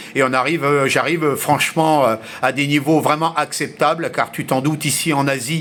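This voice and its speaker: A man speaks at a moderate pace in a monotone, flat delivery. Noticeable background noise is present. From grew up mostly abroad, French. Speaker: amateur radio operator. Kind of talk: radio contact conversation. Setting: shortwave radio contact. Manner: hesitant, many fillers.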